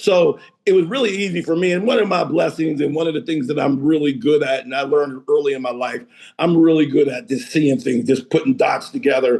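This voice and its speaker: A man talks at a fairly quick pace, his pitch fairly high and his tone animated. His intonation is lively. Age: 60s. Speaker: real estate and mortgage businessman. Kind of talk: interview conversation.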